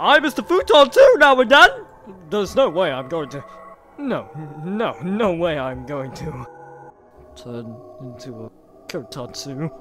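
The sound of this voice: A man performs in a put-on character voice. His pace is moderate.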